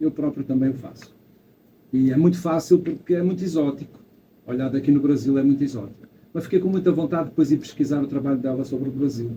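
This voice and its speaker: In a European Portuguese accent, a man speaks very fast in a dark, mellow, somewhat breathy tone, fairly high-pitched with ordinary pitch variation. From Portugal. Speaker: photographer, photo club member. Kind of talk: audience remarks at photo club event. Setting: event hall with audience.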